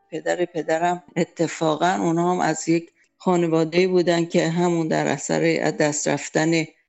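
Music plays in the background as a woman talks at a fairly slow pace. Her fairly low voice keeps a monotone, flat intonation. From Iran, Tehran. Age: 70s. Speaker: composer and music teacher. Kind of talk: interview.

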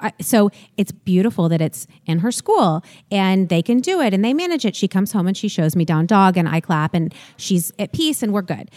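A woman with a plain, everyday voice at a medium pitch, fairly quick with lively intonation and very even loudness, in a very clean recording with a silent background and a dry, close sound with no echo. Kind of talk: casual interview chat.

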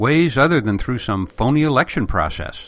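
Moderate pace, very wide pitch swings, and an American accent. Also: man. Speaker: podcast host. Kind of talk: podcast monologue.

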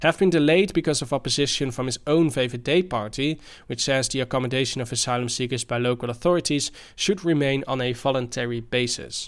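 Speaking at a very fast pace, a man uses a medium pitch and ordinary pitch variation in a very clean recording with a silent background. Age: 30s. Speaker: podcast host and student. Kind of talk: news discussion podcast. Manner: halting, many fillers.

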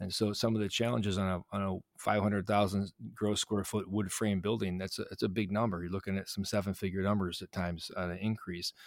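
Speaking at a fairly quick pace, a man with an American accent uses a fairly low pitch, and the sound is dry and close with no echo. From Chicago south suburbs, US Midwest. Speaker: real estate development executive. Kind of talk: interview. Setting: studio. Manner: animated.

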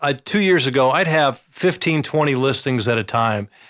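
On a very clean recording with a silent background, a man talks at a moderate pace in a normal speaking voice with lively intonation. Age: 60s. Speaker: real estate agent. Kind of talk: casual interview. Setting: studio.

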